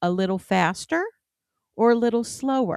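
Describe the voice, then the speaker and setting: With very wide pitch swings, a woman with a fairly high voice comes across in a dry, close sound with no echo on a very clean recording with a silent background. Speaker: soap-making YouTuber. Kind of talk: tutorial. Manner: sometimes stutters.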